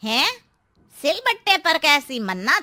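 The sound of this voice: A woman does a cartoonish character voice at a high pitch. Her pitch swings very widely.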